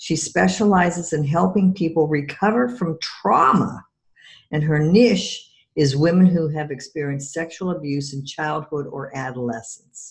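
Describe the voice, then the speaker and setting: Her pitch very deep and low, a woman talks at a moderate pace with lively intonation. Her voice is somewhat breathy. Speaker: podcast host and EFT practitioner. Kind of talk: interview.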